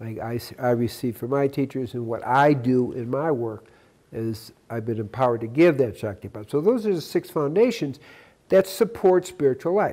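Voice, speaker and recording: Lively intonation and a dark, mellow tone mark a man speaking at a moderate pace with a medium pitch. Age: 70s. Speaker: spiritual teacher and live food diet advocate. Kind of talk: interview answers.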